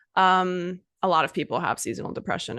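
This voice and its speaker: Over a quiet background, a woman speaks with vocal fry. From Bermuda. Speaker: English teacher / podcaster. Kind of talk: casual podcast talk for English learners. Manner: relaxed, conversational.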